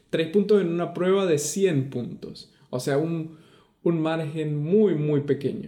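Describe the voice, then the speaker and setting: Speaking very slowly, a man uses a fairly high pitch, a dark, mellow tone and ordinary pitch variation. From Venezuela. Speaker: podcast co-host. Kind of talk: casual chat.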